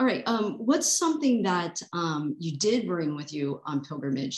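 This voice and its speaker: This woman's pitch is very deep and low. She talks at a moderate pace. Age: 50s. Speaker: podcast host. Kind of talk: casual interview.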